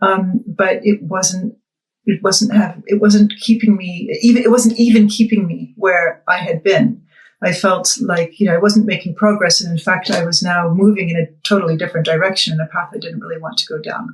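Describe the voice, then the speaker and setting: A woman with a Boston accent speaks at a moderate pace and medium pitch, her voice somewhat breathy and her intonation fairly even. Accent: Boston American. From US Northeast, Boston. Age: 50s. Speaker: weight-loss client. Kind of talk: interview testimony. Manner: hesitant, many fillers.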